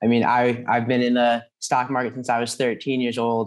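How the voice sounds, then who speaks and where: A man speaking at a fairly quick pace against a quiet background. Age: young. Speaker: podcast host. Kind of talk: interview. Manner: halting. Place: home room. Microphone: webcam.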